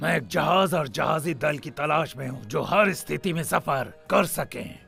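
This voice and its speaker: A cartoonish character voice is heard over clear background noise. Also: man, fairly high pitch for a man, moderate pace. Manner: gruff, commanding.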